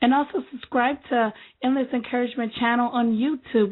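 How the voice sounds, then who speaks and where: Pitched high, a woman speaks at a moderate pace. Her intonation stays fairly even. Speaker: podcast host. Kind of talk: motivational podcast talk. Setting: internet radio show. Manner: halting.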